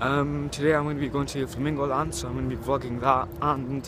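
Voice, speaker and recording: Against noticeable background noise, a man speaks at a fairly quick pace with fairly even intonation in a dry sound with no echo. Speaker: vlogger. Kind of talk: casual vlog chat. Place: street. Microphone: phone near.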